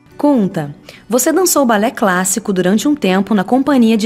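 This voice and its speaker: A woman with a medium pitch talks at a moderate pace. Her intonation is lively, and background noise is noticeable. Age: 30s. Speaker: podcast host. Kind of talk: podcast interview.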